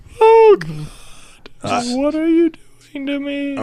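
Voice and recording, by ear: Someone uses a put-on character voice pitched high. The delivery moves at a very slow pace.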